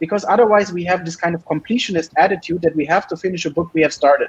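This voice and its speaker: In a German accent, a man speaks at a high pitch with ordinary pitch variation. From Germany. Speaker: PhD student. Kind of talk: interview.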